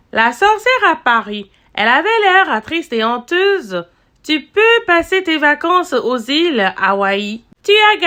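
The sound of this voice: Reading in an unforced voice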